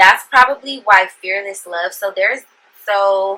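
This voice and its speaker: A woman at a medium pitch, speaking at a very slow pace. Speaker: tarot reader. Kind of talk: tarot reading to camera. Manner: halting, stumbling over words.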